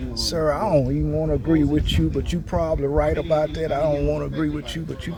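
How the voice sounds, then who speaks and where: A man with an American accent, noticeable background noise and audible room echo. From Louisiana. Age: 60s. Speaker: farmer. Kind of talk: interview. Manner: casual, relaxed.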